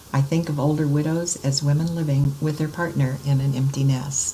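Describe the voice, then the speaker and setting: With audible room echo around her, a woman speaks at a moderate pace in a very deep, low voice. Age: 70s. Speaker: student and conference speaker on grief. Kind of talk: conference presentation. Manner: formal.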